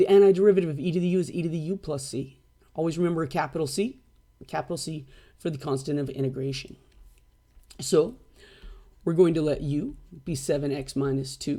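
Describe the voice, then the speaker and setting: A man's dark, mellow voice at a fairly high pitch, with ordinary pitch variation, a very fast pace and long, frequent pauses. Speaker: math teacher. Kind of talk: recorded lecture.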